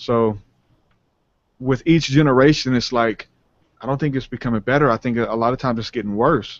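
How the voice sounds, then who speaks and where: Taking long, frequent pauses, a man speaks with a New Orleans accent, medium pitch and fairly even intonation. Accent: New Orleans Southern US. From US South, New Orleans. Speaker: rapper and spiritual podcaster. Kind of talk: interview conversation. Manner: casual, many fillers.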